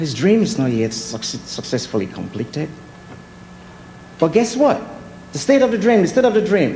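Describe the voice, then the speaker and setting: A man with a non-native accent speaks at a moderate pace and a high pitch, his pitch swinging very widely, with long, frequent pauses, audible room echo and noticeable background noise. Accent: foreign. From Nigeria. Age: 40s. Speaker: artist. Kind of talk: speech.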